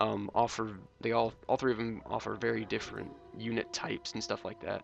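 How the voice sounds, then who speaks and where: Quiet and at a moderate pace, a man speaks over music in the background. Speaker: gaming YouTuber. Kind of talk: gameplay commentary. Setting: home recording at night. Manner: quiet, held-down voice; hesitant, many ums and uhs.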